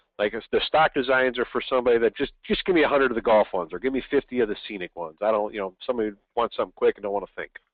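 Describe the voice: A man speaks at medium pitch and a very fast pace with few pauses and ordinary pitch variation, in a dry, close sound with no echo.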